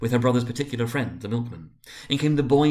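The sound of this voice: The clip has an unforced reading voice. Its intonation stays fairly even.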